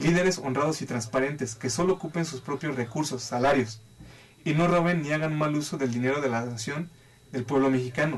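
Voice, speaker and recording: Using an ordinary speaking voice, a man talks at a fairly quick pace and fairly high pitch with ordinary pitch variation. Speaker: life and financial advisor. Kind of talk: talk show interview.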